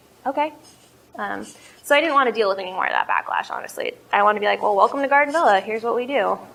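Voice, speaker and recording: A woman talks at a very fast pace with ordinary pitch variation, over noticeable background noise. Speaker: coffee shop owner and entrepreneur. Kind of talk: business presentation Q&A. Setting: cafe with live audience. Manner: loud; casual, hesitant with fillers.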